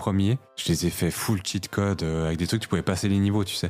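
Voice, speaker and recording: Music plays behind a man who speaks fairly quickly at a fairly low pitch with fairly even intonation. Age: 30s. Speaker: podcast co-host. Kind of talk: casual chat.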